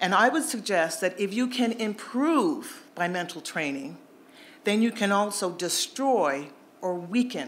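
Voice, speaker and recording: Using an ordinary speaking voice, a woman of medium pitch talks at a fairly slow pace with lively intonation. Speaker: panel speaker at a public event. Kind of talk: timed panel talk.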